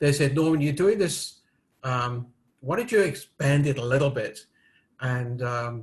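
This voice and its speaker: A man with a British accent speaks in a fairly high, somewhat breathy voice at a moderate pace. His pitch varies in an ordinary way, and the background is quiet. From United Kingdom. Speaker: risk management expert and author. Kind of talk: interview. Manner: hesitant, many fillers.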